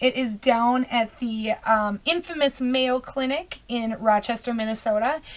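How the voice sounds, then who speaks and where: Fairly slow in pace, a woman speaks with fairly even intonation. Her voice sits high. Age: 30s. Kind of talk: casual talk to camera. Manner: hesitant, many fillers.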